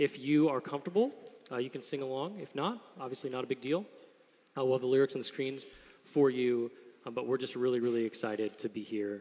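A man talks fairly quickly, his pitch moving in an ordinary way. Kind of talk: welcome address and prayer. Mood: solemn, warm. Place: stage. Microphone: studio mic.

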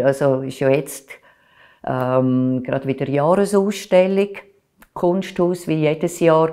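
Over a quiet background, a woman speaks at a very slow pace in a dark, mellow tone with ordinary pitch variation. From Switzerland, Aargau (Baden); Aargau, Switzerland. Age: 60s. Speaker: culture journalist and art critic; culture journalist. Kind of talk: oral history interview. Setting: recorded interview. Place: home room. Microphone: lapel.

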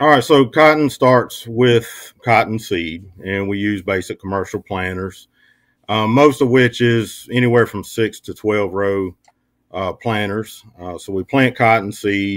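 A man with a fairly low pitch, fairly slow pace, ordinary pitch variation and big swings in loudness, in a quiet background. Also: dry sound with no echo. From eastern North Carolina. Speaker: agricultural extension specialist. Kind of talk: radio interview. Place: home room. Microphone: webcam.

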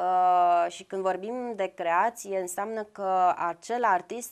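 Very slow delivery with ordinary pitch variation against a quiet background. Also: woman. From Brăila, Romania; Romania. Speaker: visual artist; guest. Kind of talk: TV interview. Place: studio.

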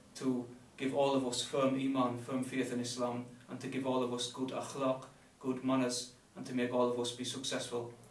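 With audible room echo and light background noise, a man speaks at a moderate pace in a monotone, flat tone. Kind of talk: solemn address and prayer. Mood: calm, solemn, warm. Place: meeting room.

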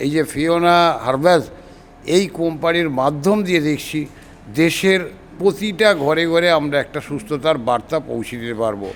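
Here a man has an unremarkable speaking voice with ordinary pitch variation. His pitch is fairly high. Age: 60s. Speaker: customer giving a testimonial. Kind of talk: testimony.

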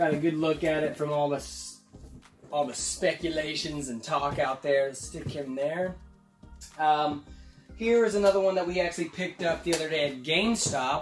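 Moderate pace with long, frequent pauses and ordinary pitch variation, plus audible room echo and clear music in the background. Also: man. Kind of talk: casual vlog chat. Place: home room.

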